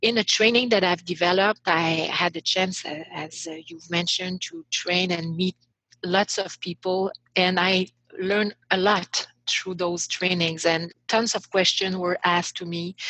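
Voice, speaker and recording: With a Quebec accent, a woman speaks in a flat monotone and a bright, sharp tone, recorded dry and close with no echo. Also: medium pitch for a woman, fairly slow pace. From Quebec, Montreal. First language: French. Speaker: author and leadership coach. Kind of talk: podcast interview. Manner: halting, many fillers.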